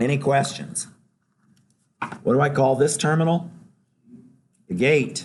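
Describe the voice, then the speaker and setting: Audible room echo surrounds a man speaking at a fairly slow pace with a fairly high pitch, ordinary pitch variation, very even loudness and long, frequent pauses. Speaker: professor. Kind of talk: lecture. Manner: conversational, interactive.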